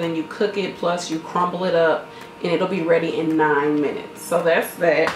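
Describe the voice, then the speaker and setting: A woman speaks at a fairly quick pace. Audible room echo and light background noise can be heard. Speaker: food vlogger. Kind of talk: casual vlog chat. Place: kitchen. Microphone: camera far.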